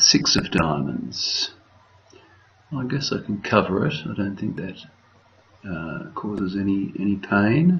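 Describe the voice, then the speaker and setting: A man mumbles quietly at a fairly low pitch, with long, frequent pauses. His pitch swings very widely over noticeable background noise. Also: fairly slow pace. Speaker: bridge director. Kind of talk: game commentary. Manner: quiet, mumbling.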